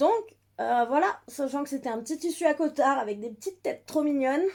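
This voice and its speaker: A woman speaks at a fairly quick pace in a high voice. Her intonation is lively. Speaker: book vlogger. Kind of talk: casual vlog. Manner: hesitant, many fillers.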